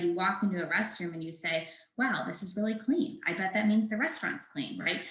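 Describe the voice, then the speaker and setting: A woman's voice with audible room echo. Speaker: startup founder presenting product. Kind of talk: webinar presentation. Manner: fast.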